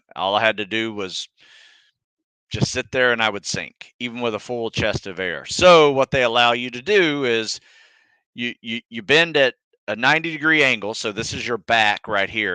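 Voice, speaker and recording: An American-accented man's bright, sharp voice at medium pitch, moderate pace and ordinary pitch variation, with a dry, close sound, no echo and a quiet background. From US South (North Florida / southern Georgia). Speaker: fitness coach, former Navy SEAL. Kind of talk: live Q&A stream. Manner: casual, conversational.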